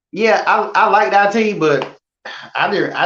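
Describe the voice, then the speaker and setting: This man speaks with a Southern US accent. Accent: Southern country. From North Carolina (Selma). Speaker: photographer and model trainer. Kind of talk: interview conversation. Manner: halting, with many fillers.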